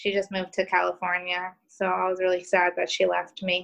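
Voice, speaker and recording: At a moderate pace, a woman with a medium pitch and a bright, sharp tone speaks in a monotone, flat intonation against a quiet background. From New York. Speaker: podcast guest.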